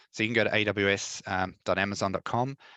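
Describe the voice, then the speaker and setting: A man with an Australian accent speaks in a bright, sharp tone at a fairly low pitch. The sound is dry and close with no echo, over a quiet background. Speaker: tech presenter. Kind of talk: tutorial. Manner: fast; hesitant, many fillers.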